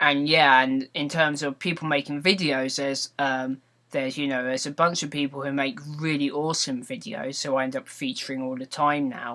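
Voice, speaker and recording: In a very clean recording with a silent background, a man speaks with a British accent. His voice is fairly high, bright and sharp, with fairly even intonation. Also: fairly quick pace. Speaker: vlogger and gaming video maker. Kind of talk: casual vlog monologue. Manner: slightly slurred words; rambling with frequent ums and repetitions.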